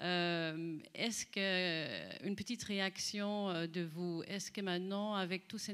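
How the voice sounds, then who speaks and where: A woman's medium-pitched, monotone voice at a fairly slow pace, flat in intonation. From Netherlands. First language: Dutch (speaking French). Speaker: panel moderator. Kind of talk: moderated panel discussion; reading prepared text. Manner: hesitant.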